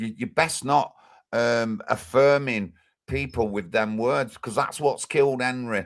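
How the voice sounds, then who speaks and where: A Manchester accent on a very clean recording with a silent background. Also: man. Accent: Greater Manchester English. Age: 50s. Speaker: livestreamer, political activist. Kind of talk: live stream chat. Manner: animated.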